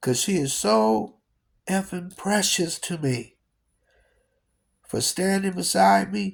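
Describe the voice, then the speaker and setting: A man speaks very slowly at a high pitch, with very wide pitch swings. Long, frequent pauses break up his speech. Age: 60s. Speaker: DJ and entertainer. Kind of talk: personal video message. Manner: animated.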